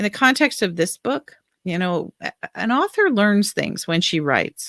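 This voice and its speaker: Speaking very slowly in an American accent, a woman with a medium pitch and a bright, sharp tone comes through on a very clean, dry, close recording with a silent background and no echo. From US, Baltimore, Maryland. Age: 60s. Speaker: author. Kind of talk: panel discussion.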